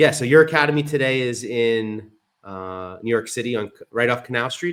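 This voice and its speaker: Fairly quick pace and ordinary pitch variation, in a normal speaking voice. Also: man, medium pitch for a man. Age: 40s. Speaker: podcast host. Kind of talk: podcast interview.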